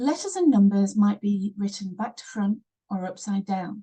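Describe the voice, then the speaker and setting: Somewhat breathy and dark, mellow in tone, a woman's medium-pitched voice moves at a fairly slow pace with ordinary pitch variation. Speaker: online teacher. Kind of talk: tutorial.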